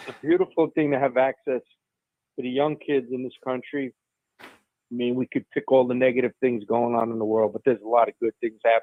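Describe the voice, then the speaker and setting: With an ordinary speaking voice, a man of medium pitch talks at a fairly quick pace with fairly even intonation. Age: 60s. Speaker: caller. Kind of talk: call-in conversation. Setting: phone call.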